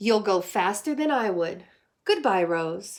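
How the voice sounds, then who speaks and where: In a very clean recording with a silent background, a woman uses a put-on character voice at a medium pitch and a fairly slow pace. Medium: read story.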